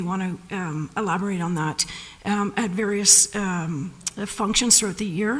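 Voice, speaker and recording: There is noticeable background noise behind the woman speaking. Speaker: county senior staff presenting to council. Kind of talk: council meeting answer.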